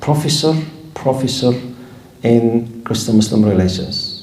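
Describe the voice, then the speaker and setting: A man's lively intonation at a fairly slow pace, with audible room echo. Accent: Arabic. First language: Arabic. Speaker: Islamic scholar and teacher. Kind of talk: lecture. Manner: animated.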